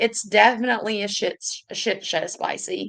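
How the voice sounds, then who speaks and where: Fairly high female voice in a Southern US accent. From US South. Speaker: YouTuber reading live chat. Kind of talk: casual livestream chat. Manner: animated.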